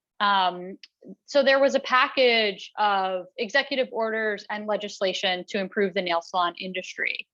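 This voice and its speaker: Her tone bright and sharp, a woman speaks at a medium pitch. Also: ordinary pitch variation. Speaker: executive director of a worker safety nonprofit. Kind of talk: presentation. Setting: talk with interpreters. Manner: slow, deliberately paced for interpreters.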